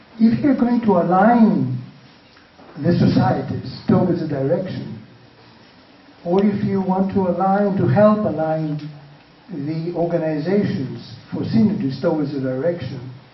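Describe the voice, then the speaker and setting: Noticeable background noise and audible room echo frame a man's high-pitched voice. His intonation is lively, broken by long, frequent pauses. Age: 60s. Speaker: panelist. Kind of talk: panel discussion. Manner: halting.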